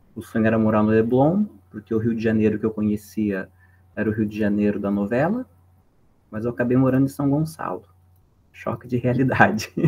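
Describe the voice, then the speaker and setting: Speaking with a southern Brazilian accent, a man keeps a fairly quick pace and fairly even intonation but takes long, frequent pauses. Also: medium pitch for a man. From southern Brazil (Santa Catarina, Paraná). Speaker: philosophy professor. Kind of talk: lecture. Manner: casual.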